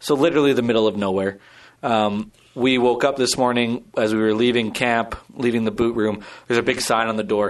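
Over a quiet background, a man talks at a fairly quick pace with very even loudness. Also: medium pitch for a man. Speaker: podcast co-host. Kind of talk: casual chat. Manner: animated, joking.

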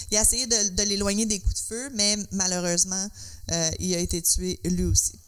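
Over noticeable background noise, a woman with a Quebec accent speaks at a medium pitch with fairly even intonation. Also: moderate pace. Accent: Québécois French. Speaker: podcast co-host. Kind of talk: casual chat.

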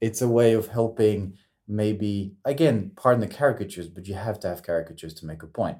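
In a very clean recording with a silent background, a man with a dark, mellow tone and fairly low pitch speaks with big swings in loudness. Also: ordinary pitch variation, fairly quick pace. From French, raised in New Zealand, South Korea, Morocco, Australia. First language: French. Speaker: communication consultant. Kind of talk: casual interview. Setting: studio in Sydney. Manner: halting, many repeats.

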